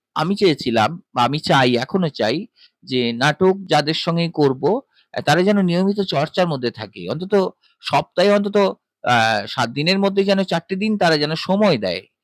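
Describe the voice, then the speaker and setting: The man's voice is fairly high, with very wide pitch swings. The sound is dry and close, without echo. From West Bengal. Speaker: voice artist. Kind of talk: interview answer.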